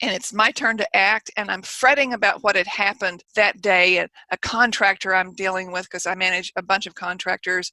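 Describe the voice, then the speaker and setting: Moderate pace from a woman at medium pitch, bright and sharp in tone, with hardly any pauses and a dry, close sound with no echo. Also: ordinary pitch variation. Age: 70s. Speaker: mindset coach and author. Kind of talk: podcast interview. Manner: animated.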